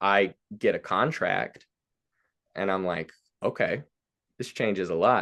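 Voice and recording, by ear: A man talks at a fairly slow pace in a fairly bright tone, his pitch varying in an ordinary way.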